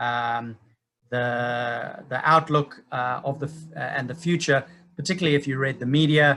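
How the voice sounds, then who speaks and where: Speaking with a Zimbabwean accent, a man has a medium-pitched voice and a bright, sharp tone. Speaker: property investment speaker. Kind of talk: webinar presentation. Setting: online webinar.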